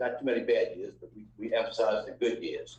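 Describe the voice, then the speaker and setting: A man talks at a fairly quick pace with an American accent. Audible room echo is present. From New Orleans, Louisiana. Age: 70s. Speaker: restaurant family member. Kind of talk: lecture. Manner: halting.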